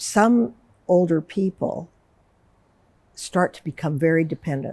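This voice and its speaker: A woman speaks in a very deep, low voice with a dark, mellow tone. Her pitch varies in an ordinary way. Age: 70s. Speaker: psychotherapist. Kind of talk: interview conversation.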